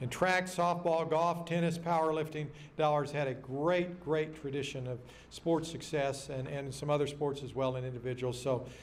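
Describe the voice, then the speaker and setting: Audible room echo surrounds a man with an American accent and a fairly high pitch. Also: moderate pace. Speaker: banquet speaker and local football historian. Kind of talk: banquet speech. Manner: animated.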